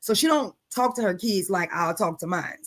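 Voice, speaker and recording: The recording is very clean, with a silent background. A woman speaks at a moderate pace with ordinary pitch variation. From New Orleans. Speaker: podcast host. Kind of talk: casual chat. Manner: blunt, profane.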